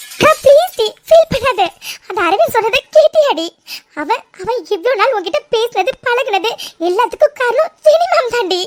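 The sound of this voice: A woman does a cartoonish character voice, extremely high and swinging very widely in pitch, in a dry, close sound with no echo. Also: moderate pace.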